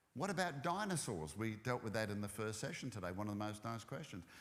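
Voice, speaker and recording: With audible room echo, a man talks fairly quickly, his pitch swinging very widely. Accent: Australian. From Australia. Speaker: ministry speaker. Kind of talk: church talk. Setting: church.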